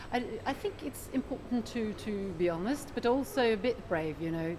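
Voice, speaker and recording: Noticeable background noise sits behind a woman whose fairly high pitch moves in lively intonation. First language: Norwegian. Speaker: economist, chief analyst. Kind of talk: interview. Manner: hesitant, many fillers.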